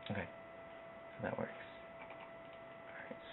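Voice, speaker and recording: Soft-spoken, the speaker is heard with audible room echo and noticeable background noise. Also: man. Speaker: video tutorial creator. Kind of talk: tutorial. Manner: quiet, soft-spoken; casual, hesitant with fillers.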